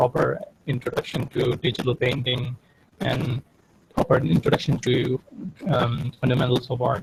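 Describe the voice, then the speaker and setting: A man with a non-native accent, medium pitch, ordinary pitch variation and vocal fry. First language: not English. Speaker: digital artist. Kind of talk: interview. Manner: halting.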